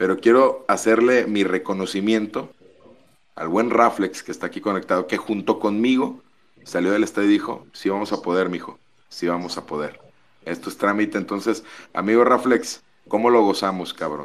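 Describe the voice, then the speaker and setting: The man has an ordinary speaking voice, fairly low, with ordinary pitch variation at a moderate pace. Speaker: caller.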